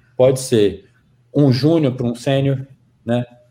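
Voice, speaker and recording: In a Goiânia accent, a man speaks at a fairly slow pace with a medium pitch. His voice is somewhat breathy, with a dark, mellow tone. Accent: Goiânia accent, proudly kept. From Brazil, Goiânia (Goiás). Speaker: tech team leader. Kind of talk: casual interview chat.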